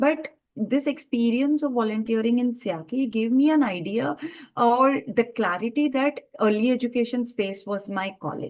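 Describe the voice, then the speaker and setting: Speaking in a Telugu accent, a woman uses a high pitch with ordinary pitch variation. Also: moderate pace. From India. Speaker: entrepreneur in early education. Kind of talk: interview. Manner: hesitant with many fillers.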